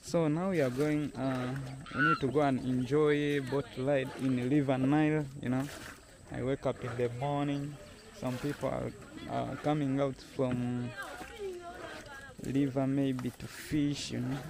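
A man's fairly slow, monotone, flat delivery with long, frequent pauses, noticeable background noise and a dry sound with no echo. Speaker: travel vlogger. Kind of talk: casual vlog chat. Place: waterside. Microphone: phone near.

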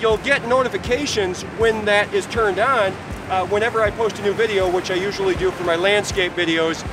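A man projects a raised voice at a moderate pace with fairly even intonation. The sound is dry with no echo, though noticeable background noise comes through. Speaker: photography vlogger. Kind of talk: casual vlog chat. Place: beach. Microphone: phone near.

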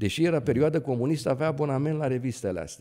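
The voice has a dark, mellow tone and ordinary pitch variation. It moves at a fairly quick pace with a quiet background. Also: man. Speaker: neurosurgeon; guest. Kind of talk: interview. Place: studio. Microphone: studio mic.

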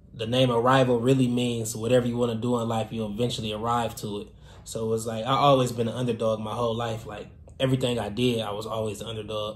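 In a room with audible echo, a man speaks very fast in a monotone, flat intonation. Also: medium pitch for a man. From Detroit, Michigan. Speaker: fashion designer and entrepreneur. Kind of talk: casual vlog storytelling. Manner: casual, many filler words.

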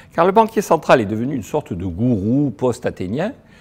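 A man talks with very wide pitch swings and vocal fry. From France. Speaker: economist; speaker. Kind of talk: lecture. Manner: animated. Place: hall. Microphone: lapel.

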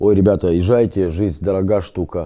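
In a quiet background, a man talks with a very deep, low pitch and a dark, mellow tone. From Lithuania, grew up partly in Israel; Lithuania. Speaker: rehab patient. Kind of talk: testimony; interview answer. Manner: halting. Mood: earnest, reflective.

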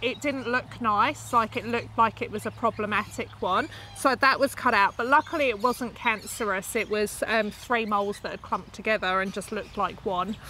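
With an English accent, a woman speaks at a moderate pace with hardly any pauses, a fairly high pitch and ordinary pitch variation, in a dry sound with no echo over light background noise. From UK. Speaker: YouTuber. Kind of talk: casual chat. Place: garden.

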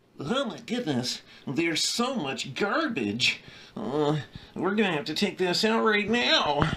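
Using a put-on character voice, a man speaks in a raised, projected voice at a high pitch with very wide pitch swings. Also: fairly slow pace. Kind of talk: comedy sketch talk to camera. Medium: role play.

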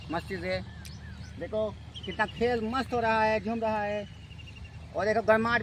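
A man talks with a high pitch and monotone, flat intonation at a fairly slow pace. The sound is dry with no echo, with light background noise. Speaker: village vlogger. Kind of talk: casual vlog chat. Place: farm. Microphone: phone near.

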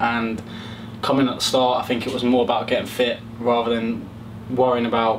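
A man rattles along at a very fast pace over noticeable background noise. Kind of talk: interview answer. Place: hall.

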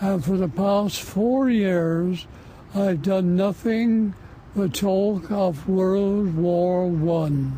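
Over light background noise, a man speaks very slowly in a high voice, the sound dry with no echo. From England. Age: 80s+. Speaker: war veteran. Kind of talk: interview answer. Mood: somber, reflective. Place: garden.

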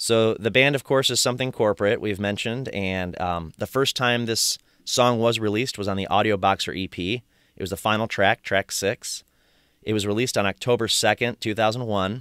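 With an American accent and a normal speaking voice, the speaker talks at a moderate pace with fairly even intonation, recorded dry and close with no echo, very clean against a silent background. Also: man, fairly low pitch for a man. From Michigan. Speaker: podcast host. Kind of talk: casual chat.

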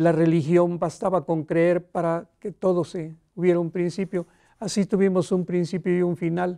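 A dark, mellow tone carries monotone, flat intonation at a moderate pace over a quiet background. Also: man, high pitch for a man. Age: 80s+. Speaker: elderly writer. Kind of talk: interview. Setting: studio. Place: studio. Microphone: lapel.

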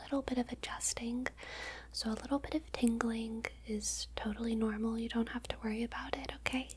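A woman talks softly at a moderate pace. Her tone is soothing. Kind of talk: ASMR roleplay, soft-spoken. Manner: soft, hushed soothing ASMR voice. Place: home room.

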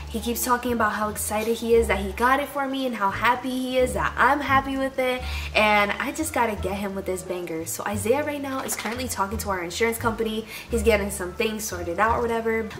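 A woman at a very fast pace with ordinary pitch variation, faint music in the background. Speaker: vlogger. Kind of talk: casual vlog chat. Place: home room.

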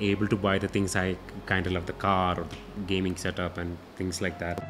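A man with a fairly low voice talks very fast over noticeable background noise. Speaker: guest. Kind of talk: interview answer, storytelling. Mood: warm, amused storytelling. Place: studio. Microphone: studio mic.

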